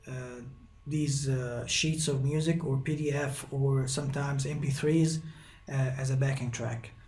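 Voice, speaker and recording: In a room with audible echo, a man speaks at a fairly slow pace in a somewhat breathy, dark, mellow tone, his fairly high pitch held in a monotone, flat intonation. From Egypt. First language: Arabic. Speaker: guitar teacher. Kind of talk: tutorial. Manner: halting, many fillers.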